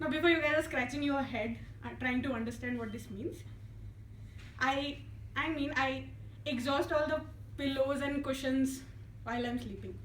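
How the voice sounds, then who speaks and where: At a moderate pace with long, frequent pauses, a soft-spoken woman is heard with audible room echo. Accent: Indian. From India, Hyderabad. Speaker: engineer giving a club speech. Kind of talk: prepared humorous public speech. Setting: club meeting with audience.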